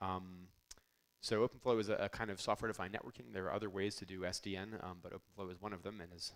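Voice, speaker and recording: Very fast speech with big swings in loudness and fairly even intonation. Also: man. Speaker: network engineer presenter. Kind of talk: conference technical talk.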